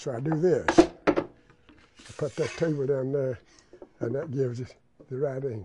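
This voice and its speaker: A man's fairly high voice with an Appalachian accent. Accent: Appalachian Southern US. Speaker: chair maker. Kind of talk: interview. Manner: halting.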